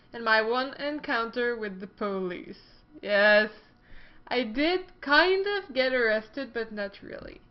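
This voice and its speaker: Her pitch fairly high and her intonation lively, a woman speaks at a fairly slow pace. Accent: French Canadian. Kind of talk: casual talk to camera. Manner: upbeat, playful.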